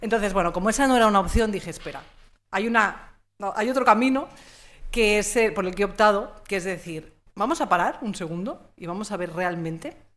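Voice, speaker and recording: A woman speaks at a fairly quick pace with lively intonation and an animated tone. There is audible room echo. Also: medium pitch for a woman. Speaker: communication consultant and trainer. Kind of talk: conference talk. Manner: fast.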